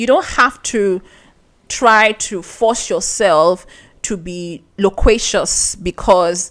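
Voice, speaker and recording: A woman with a Nigerian accent. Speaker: podcast host. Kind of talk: podcast monologue. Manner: conversational.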